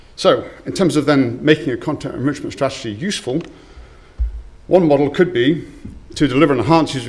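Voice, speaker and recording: Audible room echo colors the recording. A man speaks at a fairly quick pace. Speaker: conference speaker. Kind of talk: conference talk. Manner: fast.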